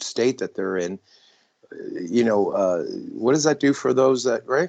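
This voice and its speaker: At a fairly quick pace, a man uses an unremarkable speaking voice at medium pitch. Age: 60s. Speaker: podcast guest. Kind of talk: casual podcast conversation.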